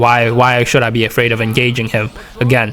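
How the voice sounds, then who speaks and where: Music plays in the background while a man rattles off his words very fast. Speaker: gaming YouTuber. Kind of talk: gameplay commentary analysis. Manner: stuttering, repeats words; casual, conversational.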